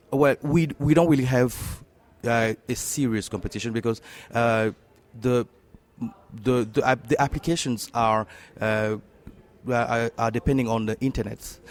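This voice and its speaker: A man speaks in a French accent at a medium pitch with fairly even intonation. His pace is fairly slow, with long, frequent pauses. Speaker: tech startup co-founder. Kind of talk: interview. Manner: halting, many fillers.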